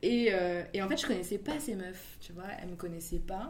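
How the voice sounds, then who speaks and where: Amid audible room echo, a somewhat breathy woman speaks at a moderate pace with lively intonation. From Paris. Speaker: video director. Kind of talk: casual interview.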